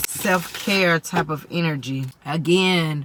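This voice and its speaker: With noticeable background noise behind her, a woman speaks at a fairly low pitch with ordinary pitch variation. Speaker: tarot reader. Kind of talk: tarot reading.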